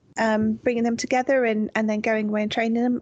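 A plain, everyday voice with fairly even intonation comes through against a quiet background. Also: woman. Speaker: podcast co-host. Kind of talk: casual chat.

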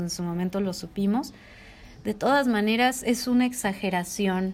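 A plain, everyday voice at a fairly slow pace with ordinary pitch variation. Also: woman. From Mexico, Jalisco. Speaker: podcast co-host. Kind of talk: casual chat.

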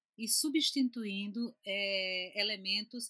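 The woman's tone is bright and sharp. Her intonation is lively. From Recife, Pernambuco, Brazil. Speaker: chemistry professor and institute director. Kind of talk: casual chat.

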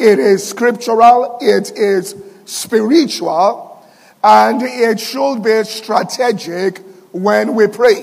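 A man's high-pitched voice at a very slow pace, with ordinary pitch variation and noticeable background noise. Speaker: pastor. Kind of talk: sermon.

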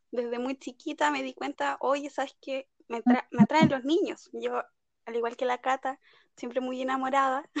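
At a moderate pace, a woman with a Chilean accent speaks in a high pitch with fairly even intonation. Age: 20s. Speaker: law student, podcast co-host. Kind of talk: casual chat.

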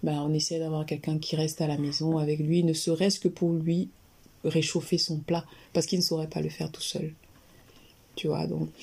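This somewhat breathy voice has a dark, mellow tone and a monotone, flat intonation, moving at a moderate pace with long, frequent pauses. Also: woman, very deep, low pitch for a woman. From Cameroon, Yaoundé. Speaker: general practitioner and health YouTuber. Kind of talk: interview conversation.

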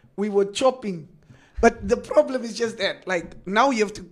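Here a man is speaking. His intonation is lively. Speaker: radio host. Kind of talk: casual radio chat.

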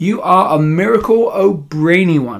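In a put-on character voice, a man swings widely around a high pitch, with vocal fry. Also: fairly slow pace.

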